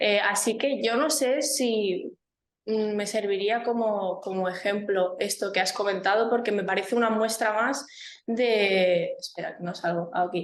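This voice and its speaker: With audible room echo, a woman with a Spanish accent talks at a fairly slow pace in a fairly high pitch, with ordinary pitch variation. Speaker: seminar participant. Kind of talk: academic discussion. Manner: halting.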